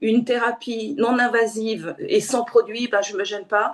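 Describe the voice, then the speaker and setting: A woman talks with a fairly high pitch. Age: 60s. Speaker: aromatherapist. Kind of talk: presentation. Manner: hesitant, many fillers.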